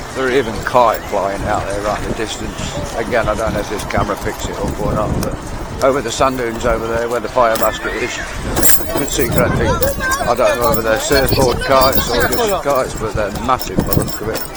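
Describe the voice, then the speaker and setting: A man with a Lincolnshire accent talks at a fairly quick pace, with noticeable background noise and audible room echo. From Skegness, Lincolnshire, England. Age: 60s. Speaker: vlogger. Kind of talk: casual vlog narration.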